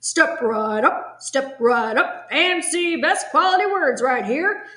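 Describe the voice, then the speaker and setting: Extremely high-pitched put-on character voice from a woman, delivered at a fairly slow pace. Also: lively intonation. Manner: hawking, loud and showy.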